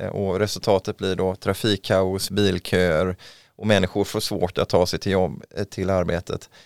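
On a very clean recording with a silent background and a dry, close sound with no echo, a man speaks at a fairly slow pace in a very deep, low, monotone, flat voice. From western Sweden, Mölndal near Gothenburg. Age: 40s. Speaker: local politician. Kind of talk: interview. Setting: studio.

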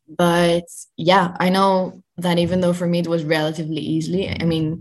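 In a Dutch accent, a woman speaks with a fairly low pitch and monotone, flat intonation. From Netherlands. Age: 20s. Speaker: journalist and content creator. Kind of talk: interview.

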